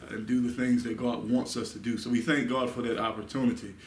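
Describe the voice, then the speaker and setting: A man speaks at a moderate pace in a monotone, flat way, with light background noise and audible room echo. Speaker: Bible study teacher. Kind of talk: sermon. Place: meeting room. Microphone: camera far.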